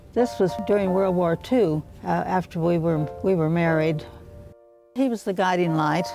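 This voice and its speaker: A woman's intonation is lively. Behind her, music plays in the background. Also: fairly low pitch for a woman, moderate pace, very even loudness. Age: 90s. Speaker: newspaper editor. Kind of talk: interview.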